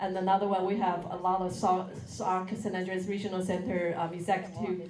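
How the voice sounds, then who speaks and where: Over noticeable background noise and audible room echo, a woman talks at a fairly quick pace. Her medium-pitched voice is monotone, with flat intonation. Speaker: nonprofit program director. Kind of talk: ceremony speech.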